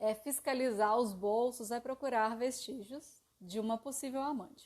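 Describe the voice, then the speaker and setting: A woman at a high pitch and a fairly slow pace, against a quiet background. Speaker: live stream presenter on psychology and aesthetics. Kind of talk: live stream lecture. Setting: live stream.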